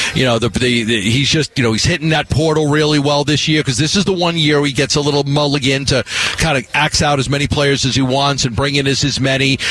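With noticeable noise behind him, a man with a fairly high pitch rushes along at a very fast pace, hardly pausing, his loudness very even and his intonation fairly even. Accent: New York. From New York. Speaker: sports radio host. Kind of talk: sports talk radio. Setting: radio studio.

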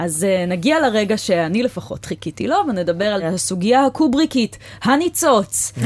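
This woman's voice sits at a medium pitch and moves at a moderate pace with hardly any pauses. Her pitch swings very widely. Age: 20s. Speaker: podcast host. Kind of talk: casual chat. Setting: studio.

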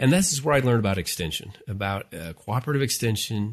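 Somewhat breathy and fairly quick, a man with an American accent speaks with lively intonation against a quiet background. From Utah, US. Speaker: family life professor, podcast host. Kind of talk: casual chat.

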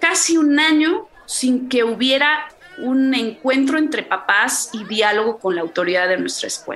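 Over crowd noise in the background, a woman speaks at a fairly slow pace in a high pitch with lively intonation. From Mexico City. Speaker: mother. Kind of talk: interview. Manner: articulate.

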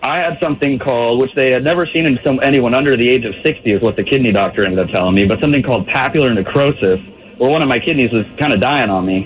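Very fast and very even in loudness, a man of medium pitch talks with ordinary pitch variation over noticeable background noise. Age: 20s. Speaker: caller. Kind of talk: testimony. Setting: phone call, in a car.

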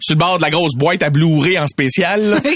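A man with a Quebec accent talks in a high pitch with lively intonation and an animated tone. His pace is moderate, and there is noticeable background noise. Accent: Québécois French. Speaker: comedian. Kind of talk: comedic podcast chat.

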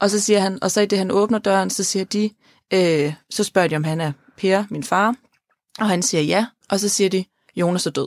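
A woman at medium pitch speaks at a moderate pace, with long, frequent pauses. The sound is dry and close with no echo, and her pitch varies in an ordinary way. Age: 20s. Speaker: podcast host. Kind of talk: personal testimony about grief. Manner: halting, repeats words.

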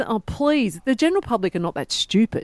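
Over a silent background in a very clean recording, a woman with a fairly high voice speaks in an Australian accent. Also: dry, close sound with no echo. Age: 40s. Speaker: sports reporter. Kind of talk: casual chat.

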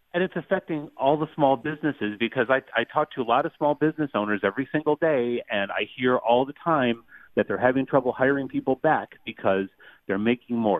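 This man has a plain, everyday voice at medium pitch with ordinary pitch variation and an American accent. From Western New York. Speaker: caller. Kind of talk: radio call-in. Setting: phone call.

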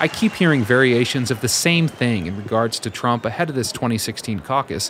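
At a moderate pace, a man with a medium pitch speaks in a lively intonation over noticeable background noise. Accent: American. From US, based in Iowa. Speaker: public radio political reporter and podcast host. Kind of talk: scripted narration.

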